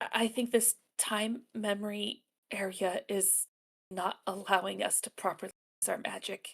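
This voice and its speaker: A raspy, female-sounding put-on character voice speaks at medium pitch and a moderate pace. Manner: mumbled.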